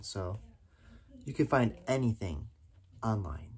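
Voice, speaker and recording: The voice is somewhat breathy, with lively intonation. There is light background noise. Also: man. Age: 20s. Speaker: YouTube vlogger. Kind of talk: casual vlog to camera. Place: home room. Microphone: phone near.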